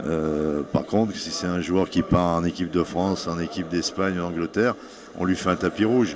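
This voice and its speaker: Intonation stays fairly even throughout. Noticeable background noise runs underneath. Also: man, very deep, low pitch for a man, moderate pace. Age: 60s. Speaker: national football team coach. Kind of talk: interview.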